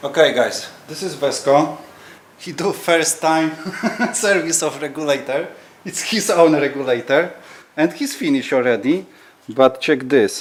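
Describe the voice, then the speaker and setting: A non-native accent at a fairly slow pace, with ordinary pitch variation, long, frequent pauses, big swings in loudness and noticeable background noise. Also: man, fairly high pitch for a man. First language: not English. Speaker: dive center worker and video host. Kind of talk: casual video intro.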